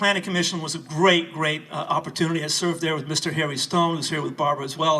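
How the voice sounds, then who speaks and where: A man talks at a very fast pace with a high pitch. Noticeable background noise runs beneath him. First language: not English. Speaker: city council candidate. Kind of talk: campaign speech. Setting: house reception with audience. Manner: hesitant, many fillers.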